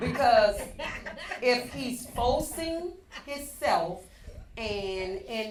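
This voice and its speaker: In a room with audible echo and noticeable background noise, a woman speaks at a very slow pace with very wide pitch swings. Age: 60s. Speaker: podcast panelist. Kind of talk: casual chat.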